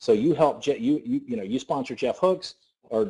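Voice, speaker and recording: A man with a Southern US accent talks at a fairly quick pace, his dark, mellow tone marked by lively intonation. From US South. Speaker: network marketing presenter. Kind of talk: sales pitch. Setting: conference call. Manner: fast; animated.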